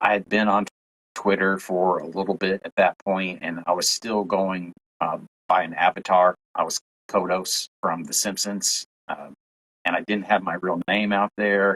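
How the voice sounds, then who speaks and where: A very deep, low-pitched man's voice with a Southern US accent, flat and monotone, at a moderate pace, dry and close with no echo. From Tennessee. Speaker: UFO content creator. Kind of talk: podcast interview.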